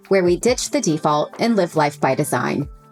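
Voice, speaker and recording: Music plays in the background while the speaker keeps a moderate pace. The pitch swings very widely. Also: woman. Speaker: podcast host, lifestyle coach. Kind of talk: podcast intro.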